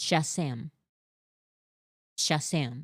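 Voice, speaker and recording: A put-on character voice, raspy and middle-pitched, comes through in a very clean recording with a silent background. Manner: aggressive, forceful.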